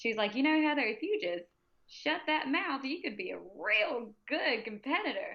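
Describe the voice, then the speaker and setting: Someone with an American accent speaks at a moderate pace with very wide pitch swings. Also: woman, high pitch for a woman. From US South. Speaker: powerlifter and pre-K teacher. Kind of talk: casual interview chat. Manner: loud; animated.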